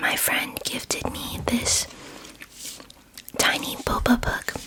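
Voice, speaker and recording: Very slow whispering from a woman, broken by long, frequent pauses, over noticeable background noise. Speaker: ASMR creator. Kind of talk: ASMR book reading. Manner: soft-spoken, whispering.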